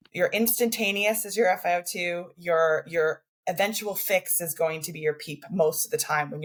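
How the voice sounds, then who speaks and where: Somewhat breathy and fairly low in pitch, a woman with a Canadian accent speaks at a moderate pace with ordinary pitch variation. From Canada. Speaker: respiratory therapist. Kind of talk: podcast interview. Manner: repetitive, stammering on words.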